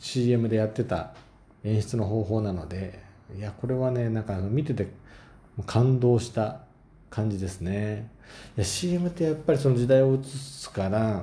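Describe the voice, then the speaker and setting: A man speaks fairly slowly at a medium pitch, with long, frequent pauses and ordinary pitch variation. His somewhat breathy voice has a dark, mellow tone, and audible room echo surrounds it. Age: 30s. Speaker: solo podcaster. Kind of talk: casual monologue.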